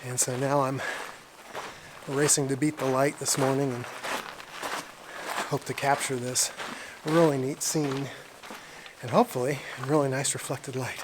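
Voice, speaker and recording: Long, frequent pauses break up a man's speech, delivered with monotone, flat intonation. Noticeable background noise can be heard. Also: fairly high pitch for a man, moderate pace. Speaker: landscape photographer. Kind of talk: outdoor vlog narration; scripted narration. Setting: outdoors in a canyon. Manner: quiet, keeping voice down.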